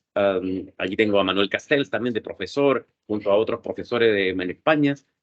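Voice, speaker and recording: The speaker has a Chilean accent and ordinary pitch variation. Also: man, fairly low pitch for a man. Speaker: lawyer and cybersecurity expert. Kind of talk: interview. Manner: fast.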